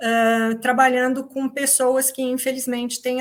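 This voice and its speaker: A woman's high-pitched voice. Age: 60s. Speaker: psychologist and essential oil company founder. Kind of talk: workshop talk.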